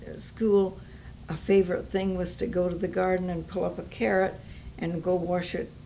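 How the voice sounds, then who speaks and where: At a moderate pace, a woman speaks with audible room echo around her. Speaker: Depression-era eyewitness. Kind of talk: oral history interview.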